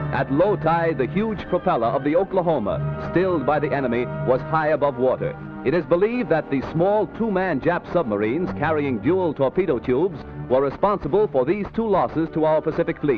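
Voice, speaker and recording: A man with an American accent talks at a fairly high pitch with lively intonation. His loudness stays very even over music in the background. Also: fairly quick pace. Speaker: newsreel commentator. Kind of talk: 1940s newsreel narration.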